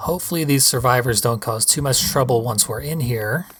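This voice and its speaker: Over music in the background, a man speaks with lively intonation. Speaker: gaming commentator. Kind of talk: video game commentary.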